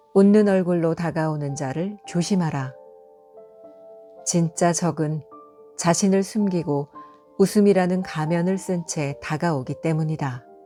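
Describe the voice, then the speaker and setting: A calm woman's voice at a very slow pace, with long, frequent pauses, ordinary pitch variation and music in the background. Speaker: audiobook narrator. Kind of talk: audiobook reading for sleep. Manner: calm, soft-spoken.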